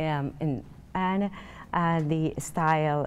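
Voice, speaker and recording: The speaker is a woman. Her pitch is very deep and low. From Peru. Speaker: fashion company owner; guest. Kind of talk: TV interview. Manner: halting. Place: studio.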